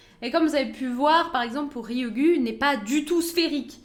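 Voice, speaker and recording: The recording has audible room echo. A woman speaks with ordinary pitch variation. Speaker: science streamer. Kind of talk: live stream science talk. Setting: live stream. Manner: fast.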